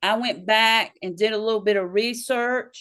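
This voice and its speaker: A woman's fairly high voice in a Southern US accent. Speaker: local party chair. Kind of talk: interview. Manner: halting.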